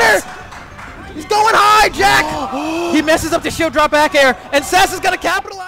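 A man's excited, raised, projected voice at an extremely high pitch, moderate pace and ordinary pitch variation, with music in the background. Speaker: esports commentator. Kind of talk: live esports commentary. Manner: excited, loud.

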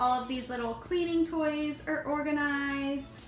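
A woman speaks at a very slow pace in a high voice. Faint music plays in the background, and there is audible room echo. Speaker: parent vlogger. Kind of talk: casual vlog chat. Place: home room. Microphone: phone near.

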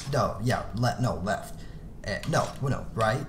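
Over noticeable background noise, a man speaks very slowly at a medium pitch. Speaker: gaming YouTuber. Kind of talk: casual gameplay commentary. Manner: rambling, self-deprecating.

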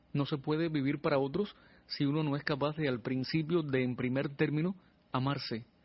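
A man speaks at a moderate pace with a fairly high pitch and a somewhat breathy voice. His intonation is fairly even and his loudness very even. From Cuba, Pinar del Río. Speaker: radio announcer and singer-songwriter. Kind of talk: interview. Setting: radio studio.

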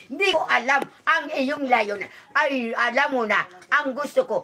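A woman's raised, projected voice, high-pitched with lively intonation at a fairly slow pace, over light background noise. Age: 80s+. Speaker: elderly villager. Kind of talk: casual chat. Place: home room. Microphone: phone near.

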